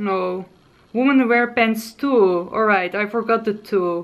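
A woman's cheerful voice, fairly high in pitch, with a Dutch accent. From Netherlands. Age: 20s. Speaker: lifestyle and beauty vlogger. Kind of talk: casual vlog tutorial. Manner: hesitant, frequent filler sounds; cheerful, laughs often. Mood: playful, hesitant when pronouncing. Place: home room.

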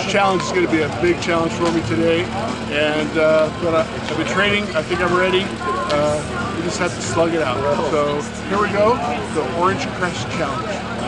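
Over loud music in the background, the speech moves at a moderate pace with ordinary pitch variation and a dry sound with no echo. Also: man. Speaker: cyclist vlogger. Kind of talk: casual vlog chat. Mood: upbeat, slightly nervous. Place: street. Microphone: phone near.

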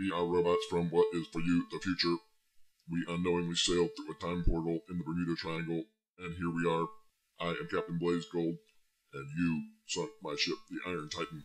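Using a put-on character voice, a man talks at a fairly quick pace in a very deep, low pitch. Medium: audio drama. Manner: flat, mechanical.

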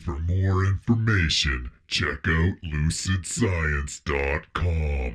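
Putting on a character voice, a man speaks very slowly in a very deep, low register with ordinary pitch variation. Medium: solo performance. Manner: imposing.

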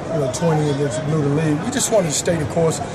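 Through loud background noise, a man talks at a very fast pace. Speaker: basketball coach. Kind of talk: interview answer. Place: hall. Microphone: phone near.

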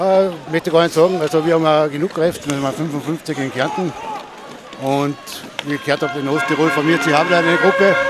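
Crowd noise fills the background as a man speaks at a fairly quick pace. His pitch is fairly high and his intonation fairly even. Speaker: co-commentator, injured player or team member. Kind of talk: casual co-commentary chat.

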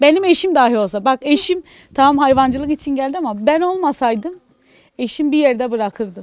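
Speaking at a fairly quick pace, a woman uses a high pitch and lively intonation. The sound is dry with no echo, over a quiet background. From Gaziantep city, Turkey; Turkey. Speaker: farmer's wife and livestock farmer; interviewee. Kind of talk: interview. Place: farm machine. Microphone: handheld.

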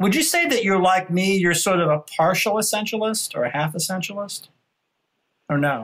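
With lively intonation, this man's voice sits at a high pitch. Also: moderate pace. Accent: American. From New York City. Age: 50s. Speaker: podcast host. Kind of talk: casual interview. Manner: halting.

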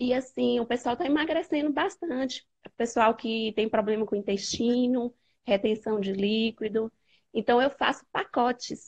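A high-pitched woman's voice at a moderate pace, with ordinary pitch variation and a quiet background. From Bahia, Brazil. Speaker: nutritionist. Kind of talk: live call-in conversation. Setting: video call. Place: home room. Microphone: earbuds.

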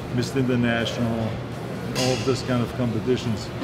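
There is music in the background as a man speaks. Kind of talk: interview answer. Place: gym.

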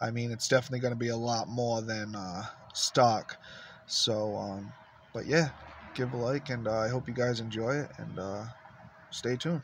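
A man's somewhat breathy voice at a moderate pace with long, frequent pauses, dry with no echo, over light background noise. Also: medium pitch for a man, fairly even intonation. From Rhode Island, Warwick; Rhode Island. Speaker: vlogger, truck hobbyist; vlogger. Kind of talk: casual vlog to camera. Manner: halting, many fillers. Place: car. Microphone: phone near.

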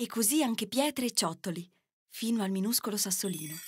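A woman with a medium pitch speaks at a fairly quick pace. Her voice is somewhat breathy and her intonation lively. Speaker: voice actor. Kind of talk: children's fairy tale narration.

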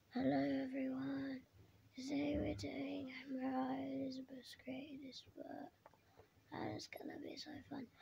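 Using a put-on character voice, a woman speaks hoarsely at a fairly slow pace, with long, frequent pauses and big swings in loudness.

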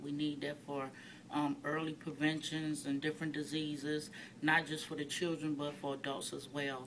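A woman with an American accent, very deep and low in pitch, monotone and flat, at a moderate pace over light background noise. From US Midwest, Detroit, Michigan; Michigan. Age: 40s. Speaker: activist. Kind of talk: personal testimony. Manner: hesitant with frequent fillers. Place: office. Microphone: phone near.

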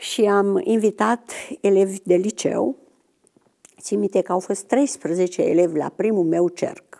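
Very slowly, a woman speaks at a medium pitch. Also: ordinary pitch variation, quiet background. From Romania. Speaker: retired biology teacher. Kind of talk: testimony. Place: studio.

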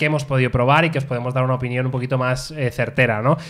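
A man with a fairly high pitch speaks against a quiet background. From Spain. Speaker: tech podcast host; podcast host. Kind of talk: casual chat. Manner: animated. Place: studio. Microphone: studio mic.

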